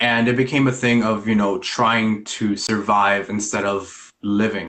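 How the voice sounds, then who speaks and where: A man talks at a fairly slow pace and a fairly low pitch. His intonation is monotone and flat, and his loudness very even. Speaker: spiritual practitioner. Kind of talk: casual interview.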